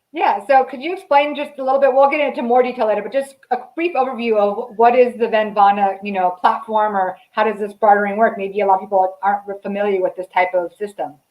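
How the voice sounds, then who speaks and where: A woman with an American accent talks at a very fast pace with hardly any pauses, using a fairly high pitch and ordinary pitch variation, with music in the background. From Southern California. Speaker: marketing channel host. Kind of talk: interview. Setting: live stream.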